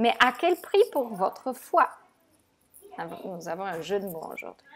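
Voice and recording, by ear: A woman speaks at a fairly slow pace, her pitch medium with big swings. Her voice carries a slightly husky edge.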